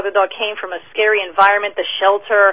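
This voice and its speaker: A woman speaks very fast with an American accent. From New Jersey. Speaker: dog trainer. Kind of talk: radio interview. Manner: halting.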